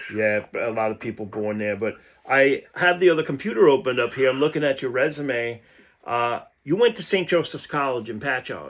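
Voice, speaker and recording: Lively intonation and a fairly quick pace mark this voice with a New York accent. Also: man, medium pitch for a man. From Long Island, New York. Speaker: podcast host. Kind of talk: casual interview.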